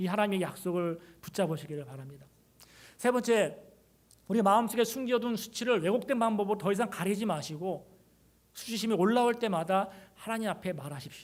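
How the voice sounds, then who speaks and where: A man with a high pitch talks at a fairly quick pace, using ordinary pitch variation and long, frequent pauses. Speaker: pastor. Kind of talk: sermon. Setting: church service, also broadcast online. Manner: fast; sometimes stumbling over words.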